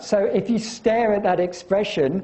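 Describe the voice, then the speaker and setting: Against noticeable background noise and audible room echo, a man speaks at a fairly slow pace. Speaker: university lecturer. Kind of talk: lecture. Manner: halting, many fillers.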